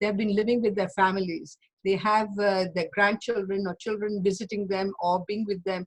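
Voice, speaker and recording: A somewhat breathy woman at a medium pitch and moderate pace. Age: 80s+. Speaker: doctor giving a lecture on aging. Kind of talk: Q&A after a lecture.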